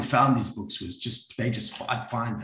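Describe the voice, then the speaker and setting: A man with a South African accent, moderate pace, and ordinary pitch variation. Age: 60s. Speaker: psychologist and group facilitator. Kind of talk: talk to an audience. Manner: halting, with many fillers.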